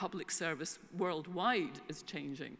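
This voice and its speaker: A woman speaks in a Scottish accent at a medium pitch. Her pace is fairly slow. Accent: Scottish, back from English. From Scotland. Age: 60s. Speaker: information management consultant. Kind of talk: conference keynote. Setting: stage with audience. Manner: hesitant fillers.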